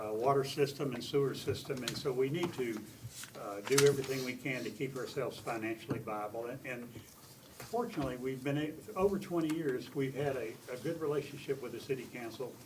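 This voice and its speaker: A man amid noticeable background noise and audible room echo. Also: medium pitch for a man, ordinary pitch variation, fairly quick pace. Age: 80s+. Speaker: utility board member. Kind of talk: council committee testimony. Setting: city council committee meeting. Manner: halting.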